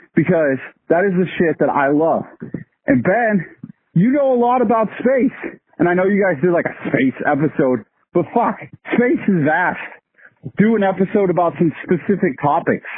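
Using an American accent, a man with a high voice moves at a moderate pace with long, frequent pauses, very even loudness and very wide pitch swings. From US East Coast. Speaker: podcast listener. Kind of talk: voicemail message. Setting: phone voicemail while walking outdoors. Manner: animated.

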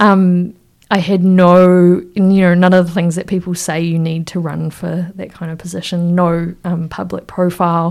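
At a moderate pace, a woman with a New Zealand accent speaks in a fairly low, monotone voice with flat intonation, in a very clean recording with a silent background. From New Zealand, Wellington. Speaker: regional councillor and freshwater ecologist. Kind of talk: casual interview.

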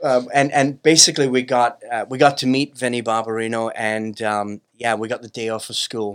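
In a very clean recording with a silent background, a plain, everyday voice moves at a moderate pace with fairly even intonation, hardly any pauses and big swings in loudness. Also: man, medium pitch for a man. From Brooklyn, New York. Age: 50s. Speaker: business owner, company CEO. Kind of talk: casual interview chat.

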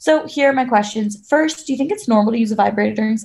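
This is an unforced reading voice. Its pitch variation is ordinary.

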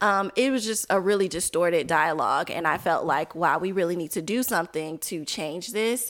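A woman with an American accent, an ordinary speaking voice, fairly low pitch, ordinary pitch variation, a moderate pace and hardly any pauses, on a very clean recording with a silent background. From Chicago area. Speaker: media co-founder. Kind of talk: casual chat.

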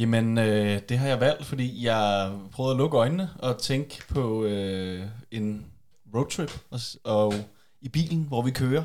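A man's medium-pitched voice at a very slow pace. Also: ordinary pitch variation. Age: 20s. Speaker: journalism student. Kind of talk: casual chat. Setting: home recording in a bedroom.

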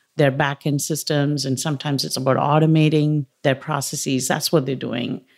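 Recorded very cleanly over a silent background, a woman with an Indian accent speaks at a very deep, low pitch. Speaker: technology executive. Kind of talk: interview.

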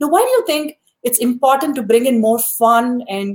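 With an ordinary speaking voice, a woman talks at a fairly quick pace and a fairly high pitch, using ordinary pitch variation. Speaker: podcast host. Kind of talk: casual interview.

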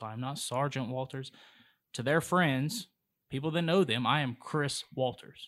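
With an American accent, a man talks at a moderate pace in a medium pitch, his pitch varying in an ordinary way. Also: very clean recording, silent background. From Charlotte, North Carolina. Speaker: police officer. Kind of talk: casual interview.

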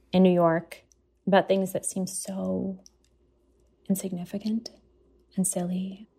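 This woman has a medium pitch, a dark, mellow tone and a somewhat breathy sound, with monotone, flat intonation. She goes at a fairly slow pace with long, frequent pauses. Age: young. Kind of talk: interview.

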